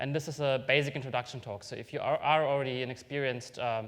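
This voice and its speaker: A man with a non-native accent talks at a very fast pace with fairly even intonation. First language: not English. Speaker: software developer giving a conference talk. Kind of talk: technical conference talk. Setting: stage with audience. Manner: hesitant, many fillers.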